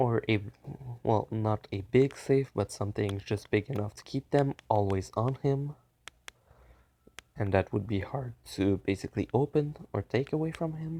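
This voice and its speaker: A soft-spoken man at medium pitch with a dark, mellow tone, a moderate pace and long, frequent pauses, in a dry, close sound with no echo. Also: ordinary pitch variation. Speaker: fan fiction storyteller. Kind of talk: improvised story narration. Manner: halting.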